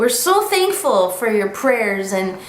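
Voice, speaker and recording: A woman with an American accent speaks at a fairly slow pace in a fairly high pitch. Audible room echo and noticeable background noise surround her voice. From United States. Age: 20s. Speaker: vlogger. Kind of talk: casual vlog update. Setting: home living room, camera.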